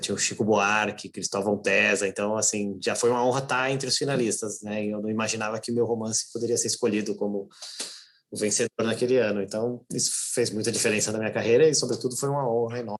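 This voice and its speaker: Very fast pace and fairly even intonation. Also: man. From Brazil, raised in São Paulo (born in Natal). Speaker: novelist and editor. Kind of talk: interview conversation. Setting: online live stream.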